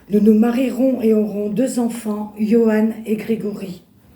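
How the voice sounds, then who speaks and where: A woman speaks very slowly in a somewhat breathy, fairly high voice with monotone, flat intonation. Room echo is audible. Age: 60s. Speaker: churchgoer giving testimony. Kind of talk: testimony. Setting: church. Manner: halting.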